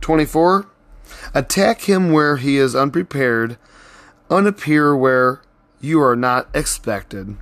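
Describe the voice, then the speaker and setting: A man's fairly high voice at a very slow pace, with lively intonation, very even loudness, and long, frequent pauses. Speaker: podcast host reading books aloud. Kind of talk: reading aloud with commentary. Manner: stuttering, stumbling over words; casual, conversational.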